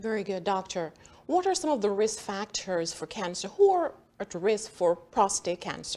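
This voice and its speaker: Her tone is dark and mellow, at medium pitch with ordinary pitch variation. The woman speaks at a moderate pace. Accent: Jamaican. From Jamaica. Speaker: health talk show host. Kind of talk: interview.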